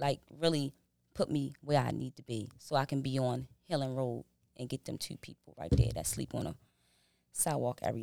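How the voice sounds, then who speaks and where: A woman speaks at a moderate pace with an American accent. Her voice has vocal fry. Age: 40s. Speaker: behavioral health business owner and correctional officer. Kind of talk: casual interview chat.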